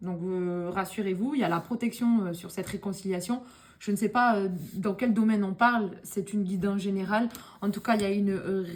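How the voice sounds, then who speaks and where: A woman with a medium pitch and fairly even intonation has an ordinary speaking voice. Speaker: tarot card reader. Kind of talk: tarot reading video.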